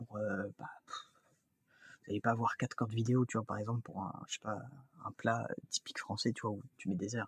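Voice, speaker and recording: Dry and close with no echo, a somewhat breathy man with medium pitch speaks at a fairly quick pace in a monotone, flat intonation, with long, frequent pauses. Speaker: YouTuber. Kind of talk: casual vlog talk to camera. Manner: halting, many fillers and restarts; fast.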